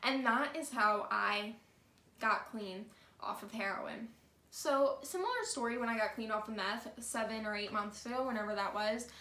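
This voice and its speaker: Noticeable background noise and audible room echo surround a woman's voice. She speaks at a moderate pace with a fairly high pitch and fairly even intonation. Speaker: vlogger. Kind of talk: storytime monologue. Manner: casual, conversational; stutter.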